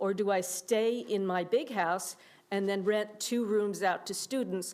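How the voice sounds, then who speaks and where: With an unremarkable speaking voice, a woman talks at a fairly slow pace and medium pitch, her intonation fairly even. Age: 60s. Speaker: public commenter. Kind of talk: public comment at council meeting.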